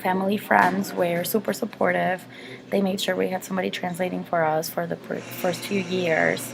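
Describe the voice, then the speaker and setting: Noticeable background noise sits behind the speaker. A woman with a Mexican accent talks at a moderate pace. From Mexico, moved to Wisconsin at 12. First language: Spanish. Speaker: interviewee, college student. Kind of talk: interview.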